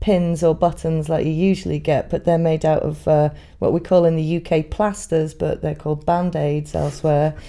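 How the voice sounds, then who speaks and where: A woman speaks with a north Welsh accent. Her pace is moderate. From Wales. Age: 30s. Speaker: folk musician. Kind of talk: casual interview.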